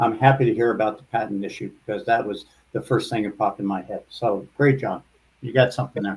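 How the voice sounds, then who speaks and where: Somewhat breathy and at medium pitch, a man talks at a very fast pace with fairly even intonation and big swings in loudness. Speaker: competition judge. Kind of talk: judge feedback. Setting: virtual conference. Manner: halting, many fillers.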